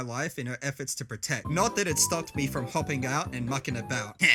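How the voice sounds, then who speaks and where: Music plays behind a man with a fairly high voice. He talks at a fairly quick pace with lively intonation. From Australia, Adelaide. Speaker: content creator. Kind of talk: scripted narration. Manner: animated.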